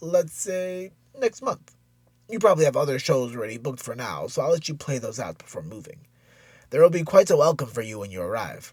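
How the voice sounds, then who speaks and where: A man speaks in a raspy, put-on character voice, fairly high-pitched, with very wide pitch swings. His pace is fairly quick, and the recording is very clean with a silent background. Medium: read story. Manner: effusive, flattering.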